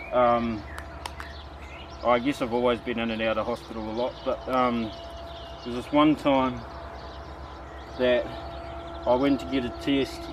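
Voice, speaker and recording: A man with a New Zealand accent speaks at medium pitch and a moderate pace, in a monotone, flat intonation. He leaves long, frequent pauses, and there is noticeable background noise. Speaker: bushcraft vlogger. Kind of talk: casual monologue while crafting. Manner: halting.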